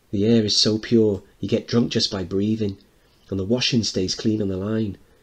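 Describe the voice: Plain reading aloud in a fairly even intonation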